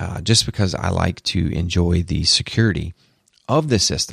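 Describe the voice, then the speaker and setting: On a very clean recording with a silent background and a dry, close sound with no echo, a man with a Southern US accent talks in a very deep, low pitch with lively intonation. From US South. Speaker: tech podcast host. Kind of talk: solo podcast monologue. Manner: animated.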